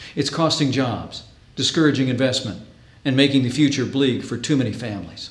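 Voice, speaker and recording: A man talks fairly quickly with an American accent, in a normal speaking voice. His pitch sits in the medium range and his intonation is fairly even. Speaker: state governor. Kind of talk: political weekly address.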